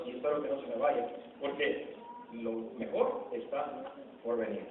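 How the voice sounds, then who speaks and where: Noticeable background noise surrounds a male speaker. The room's echo can be heard. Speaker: lay preacher. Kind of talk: sermon. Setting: church. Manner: loud.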